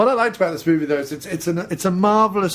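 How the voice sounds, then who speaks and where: Speaking in a British accent, a man uses lively intonation. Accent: British, classically trained actor voice. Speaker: podcast host, film commentator. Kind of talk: casual film commentary chat.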